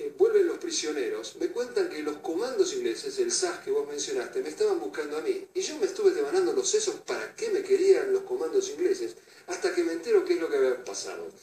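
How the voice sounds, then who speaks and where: This man's voice sits extremely high in pitch, with a dark, mellow tone, fairly even intonation, a fairly quick pace and hardly any pauses. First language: Russian (speaking Spanish). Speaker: Falklands war veteran. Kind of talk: interview.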